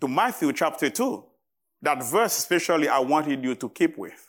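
In a very clean recording with a silent background, a man with a Haitian accent speaks fairly slowly at a fairly high pitch, his intonation lively. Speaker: visiting preacher. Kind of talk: sermon. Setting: church. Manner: halting, with frequent fillers.

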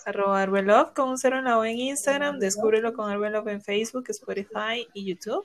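A normal speaking voice at a fairly quick pace, with ordinary pitch variation and hardly any pauses. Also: woman, fairly high pitch for a woman. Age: 30s. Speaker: podcast host. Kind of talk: casual chat.

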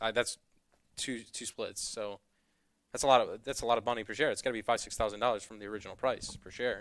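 Rattling along at a very fast pace, a man with an American accent speaks at medium pitch with monotone, flat intonation. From Northwest Indiana. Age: 20s. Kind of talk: casual chat.

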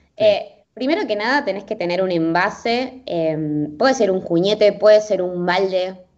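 Using a normal speaking voice, a woman talks at a fairly slow pace in a medium pitch with lively intonation. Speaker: sustainability interviewee. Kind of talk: interview.

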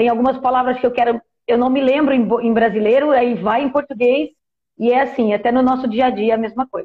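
A woman with a high pitch talks at a fairly quick pace. Her intonation is monotone and flat. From Portugal. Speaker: travel content creator living abroad. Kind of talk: casual interview on a live stream.

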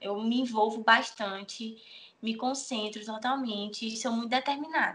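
At a moderate pace, a woman speaks in an ordinary speaking voice, fairly high in pitch. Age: 20s. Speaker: bikini fitness athlete and nutrition student. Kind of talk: interview.

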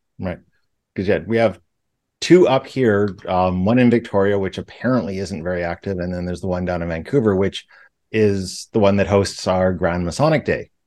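Against a quiet background, a man with a normal speaking voice and a fairly low pitch talks at a moderate pace with ordinary pitch variation. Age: 40s. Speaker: podcast co-host, Freemason. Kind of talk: casual chat.

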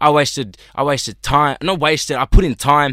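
A man speaks with an American accent at a fairly high pitch and a bright, sharp tone. His pitch varies in an ordinary way, and the recording is very clean with a silent background. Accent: Australian with slight American twang. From Australia (Sydney, Maroubra). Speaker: hip hop artist. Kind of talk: casual chat. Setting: studio.

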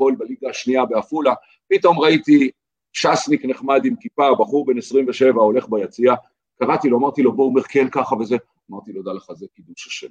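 The sound is dry and close with no echo, carrying a man's ordinary speaking voice at fairly high pitch. His intonation is lively and his pace fairly quick. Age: 50s. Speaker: lawyer. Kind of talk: casual interview conversation.

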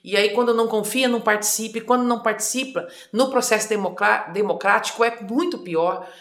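Delivered at a moderate pace with ordinary pitch variation, the voice holds a very even loudness against noticeable background noise. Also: woman, fairly high pitch for a woman. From Mato Grosso do Sul, Brazil (rural district, then Campo Grande). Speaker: politician, former federal deputy. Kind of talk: interview.

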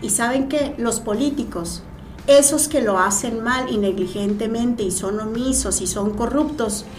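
Amid noticeable background noise and audible room echo, a woman with a fairly high pitch talks at a fairly slow pace with ordinary pitch variation. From Mexico, Morelos. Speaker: senator. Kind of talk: casual interview.

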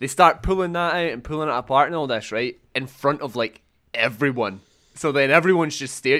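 Over a silent background in a very clean recording, a man with a Scottish accent talks at a fairly quick pace with ordinary pitch variation. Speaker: games journalist. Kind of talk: casual chat.

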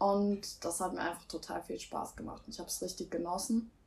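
A woman speaks at a medium pitch and a moderate pace. Noticeable background noise can be heard. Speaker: aspiring singer. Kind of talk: casual chat.

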